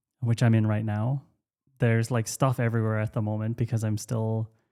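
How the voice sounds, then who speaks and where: A man with an Irish accent speaks at a very fast pace in a dark, mellow tone, with medium pitch and monotone, flat intonation. The recording is very clean with a silent background, and the sound is dry and close with no echo. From Ireland. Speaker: podcast host and company founder. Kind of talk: casual chat. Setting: home workspace. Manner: casual, halting with many fillers.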